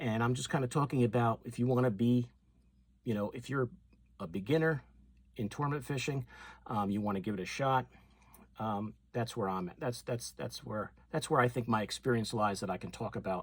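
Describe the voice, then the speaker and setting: A somewhat breathy man at a fairly quick pace, with ordinary pitch variation and long, frequent pauses. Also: medium pitch for a man, very clean recording, silent background. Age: 60s. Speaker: fishing YouTuber. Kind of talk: casual talk to camera.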